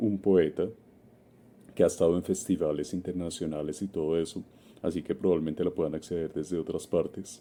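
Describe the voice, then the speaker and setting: Speaking at a fairly quick pace with a Bogotá accent, a man has a very deep, low pitch and a dark, mellow tone. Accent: Bogotá Colombian. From Colombia, Bogotá. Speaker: community contributor. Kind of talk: recorded recommendation message.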